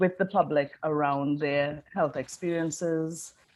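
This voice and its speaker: A speaker talks with a Caribbean accent. The background is quiet. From Trinidad and Tobago. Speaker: design professor. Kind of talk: conference interview.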